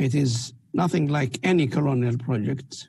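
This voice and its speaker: This man's voice is fairly high-pitched, somewhat breathy and dark and mellow in tone. He talks at a fairly slow pace with fairly even intonation. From Palestine, Beersheba district near Gaza. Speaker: researcher. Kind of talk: interview testimony.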